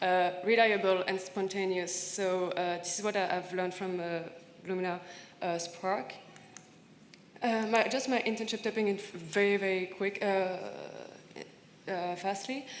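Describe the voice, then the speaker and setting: A woman with a French accent and a medium pitch, at a fairly slow pace with fairly even intonation and long, frequent pauses, amid noticeable background noise and audible room echo. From France, partly raised in Senegal. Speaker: panelist, recent graduate. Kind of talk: conference panel talk. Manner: halting, many fillers and repetitions.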